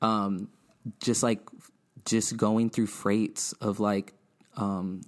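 A man's fairly low, fairly even voice with an American accent, at a very slow pace. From Inland Empire, Southern California. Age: 20s. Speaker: designer and skate-culture creative. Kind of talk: interview. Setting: studio.

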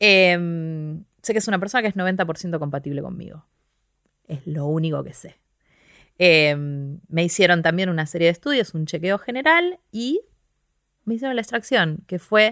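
In a Rioplatense accent, a woman speaks at a fairly slow pace and fairly low pitch, her loudness swinging widely, on a very clean recording with a silent background. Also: lively intonation. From Argentina, Quilmes (Buenos Aires). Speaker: scientist and stand-up comedian. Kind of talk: interview conversation.

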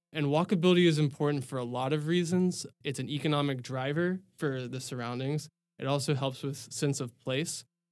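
A man with a plain, everyday voice and an American accent, fairly high in pitch, at a fairly quick pace with hardly any pauses and fairly even intonation, on a very clean recording with a silent background. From Texas; Dallas, Texas. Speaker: landscape architect. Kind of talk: casual interview chat.

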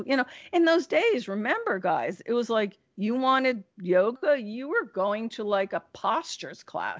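A woman with an American accent, lively intonation and a fairly slow pace. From New Jersey. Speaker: yoga teacher and magazine editor. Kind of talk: interview. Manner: animated.

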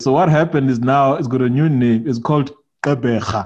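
At a fairly quick pace, a man talks in a medium pitch with a dark, mellow tone and ordinary pitch variation. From South Africa. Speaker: podcast host. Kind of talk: casual chat. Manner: animated.

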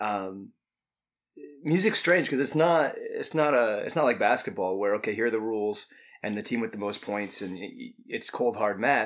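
Here is a man with an American accent and a medium pitch. He has an ordinary speaking voice. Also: lively intonation, moderate pace. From New York State (Hudson Valley, north of NYC). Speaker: musician. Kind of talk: casual interview chat. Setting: studio.

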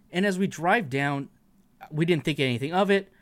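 Heard on a very clean recording with a silent background, a man talks at a moderate pace. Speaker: admin of a Facebook page. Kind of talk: casual chat.

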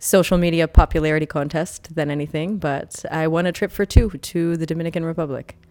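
An unremarkable speaking voice from a woman with a Canadian accent, fairly low in pitch, fairly even in intonation, at a fairly quick pace. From Ontario, Canada. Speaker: artist. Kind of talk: casual interview. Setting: studio.

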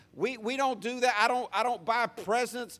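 High-pitched male voice with a Southern US accent, on a very clean recording with a silent background. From US South. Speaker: pastor. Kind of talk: sermon. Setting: church.

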